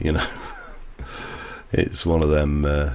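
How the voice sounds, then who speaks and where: A very deep, low male voice against noticeable background noise. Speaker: gaming streamer. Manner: casual, rambling.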